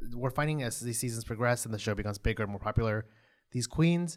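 A man at a very fast pace, medium pitch and lively intonation, very clean recording with a silent background. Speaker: podcast host recapping a TV show. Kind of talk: casual chat recap. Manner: uses many filler words like yeah.

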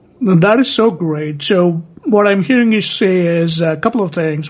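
Moderate pace and ordinary pitch variation from a high-pitched man with a South Asian accent. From Indian subcontinent. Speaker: podcast host. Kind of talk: interview. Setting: call.

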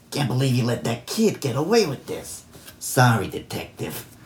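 A man puts on a character voice. His pitch sits in the middle range and his pace is moderate.

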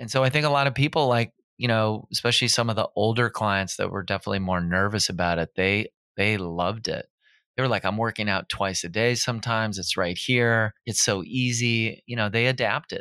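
A bright, sharp voice with an American accent moves at a fairly quick pace with ordinary pitch variation, recorded very cleanly against a silent background in a dry, close sound with no echo. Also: man, medium pitch for a man. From Minnesota. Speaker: fitness trainer and gym owner. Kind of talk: casual interview.

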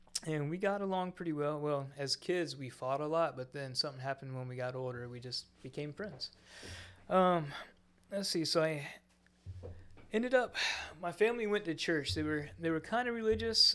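Fairly high for a man, this unremarkable speaking voice moves quickly with lively intonation in an American accent, recorded very cleanly against a silent background. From Florida Panhandle, US South. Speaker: church member sharing testimony. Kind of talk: testimony. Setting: studio with microphones.

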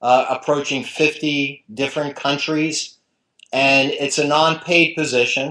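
Against a quiet background, the speaker talks at a fairly slow pace with an American accent and flat, monotone intonation. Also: man. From New Jersey. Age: 50s. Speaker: sports writer and blogger. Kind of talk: interview.

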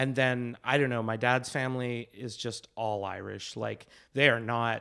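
A plain, everyday voice from a man at medium pitch, fairly even intonation and a fairly slow pace, on a very clean recording with a silent background. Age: 30s. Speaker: improviser and actor. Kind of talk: casual chat.

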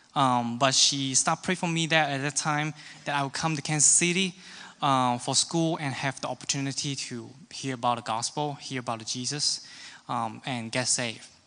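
A man with a Hong Kong accent speaks at a moderate pace and a fairly high pitch. His tone is bright and sharp, his intonation fairly even. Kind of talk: testimony. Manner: halting.

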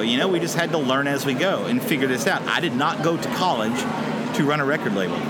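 A man talks very fast with an Alabama accent. Noticeable background noise and audible room echo fill the recording. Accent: Southern US (Alabama). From Alabama, US South (Tuscaloosa). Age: 30s. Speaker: drummer and record label owner. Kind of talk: casual interview. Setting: outdoors under an overpass.

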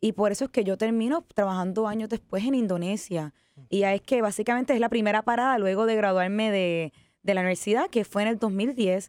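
Recorded very cleanly against a silent background, the sound is dry and close with no echo. A woman speaks fairly quickly at fairly high pitch, with ordinary pitch variation and very even loudness. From Puerto Rico, Ponce. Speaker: tourism entrepreneur. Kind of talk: interview.

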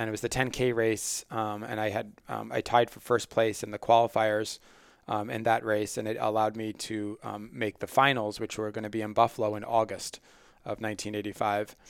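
A man speaks at a fairly quick pace, his pitch fairly low. His intonation is monotone and flat, and the recording is very clean with a silent background. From Long Island, New York. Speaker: sports medicine doctor and researcher. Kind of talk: interview answers.

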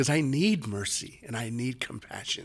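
A plain, everyday voice from a man, medium in pitch, with lively intonation at a fairly slow pace, on a very clean recording with a silent background. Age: 50s. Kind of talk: interview.

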